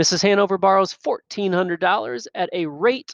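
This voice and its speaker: A man's voice, dry and close with no echo, against a quiet background. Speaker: math teacher. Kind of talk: lecture. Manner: fast.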